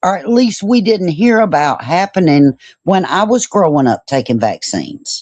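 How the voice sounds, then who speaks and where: Recorded dry and close with no echo against a quiet background, a woman speaks at a moderate pace at medium pitch, her pitch swinging very widely. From US South, Georgia. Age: 50s. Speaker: online show host. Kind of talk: interview.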